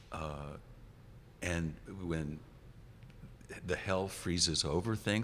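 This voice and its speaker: This man has a very deep, low pitch. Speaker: rock bassist and singer. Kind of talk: interview. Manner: halting, many restarts.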